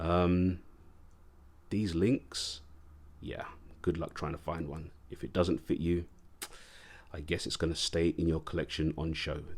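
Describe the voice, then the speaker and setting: A man's very deep, low voice in an English accent, fairly slow and fairly even, with long, frequent pauses. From England. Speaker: watch reviewer, YouTuber. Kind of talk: casual video review. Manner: casual, hesitant with fillers.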